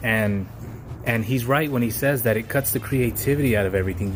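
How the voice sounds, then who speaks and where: At a fairly quick pace, a man with a fairly low voice speaks in fairly even intonation over music in the background. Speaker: vlogger / aspiring entrepreneur. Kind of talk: casual vlog monologue. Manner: stuttering, halting. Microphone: poor recording quality.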